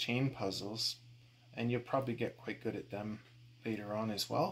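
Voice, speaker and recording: A man speaks at a fairly slow pace, and noticeable noise sits in the background. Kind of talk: tutorial. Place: garage. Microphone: phone near.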